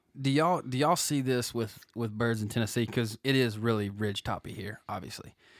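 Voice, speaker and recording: A plain, everyday voice with an American accent, ordinary pitch variation and a fairly quick pace, on a very clean recording with a silent background. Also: man, medium pitch for a man. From New Jersey. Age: 30s. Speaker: podcast co-host. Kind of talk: casual chat. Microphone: too close to the mic.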